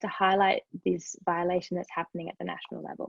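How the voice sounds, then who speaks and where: A woman speaks very fast in an Australian accent. Her pitch is medium and her intonation fairly even. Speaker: human rights NGO advocate. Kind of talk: webinar presentation. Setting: online webinar.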